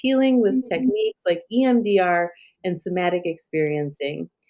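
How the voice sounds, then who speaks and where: An ordinary speaking voice from a woman, at a moderate pace with ordinary pitch variation. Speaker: podcast host. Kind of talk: podcast introduction.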